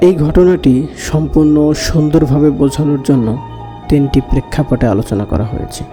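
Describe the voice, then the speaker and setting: Music plays behind the speaker. He is a man with a fairly high pitch. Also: ordinary pitch variation. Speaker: radio-style horror story host. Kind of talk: podcast host intro.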